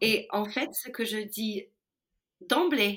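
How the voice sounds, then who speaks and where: A woman speaks with an English accent. The recording is very clean, with a silent background. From US Midwest. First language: English (speaking French). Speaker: ethical leadership consultant. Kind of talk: interview.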